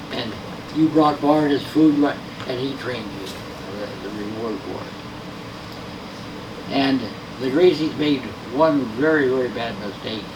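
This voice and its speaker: A man talks at a very slow pace, with ordinary pitch variation and big swings in loudness. Noticeable background noise and audible room echo fill the recording. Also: medium pitch for a man. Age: 80s+. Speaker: martial arts grandmaster. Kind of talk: seminar talk. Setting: seminar with audience. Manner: halting.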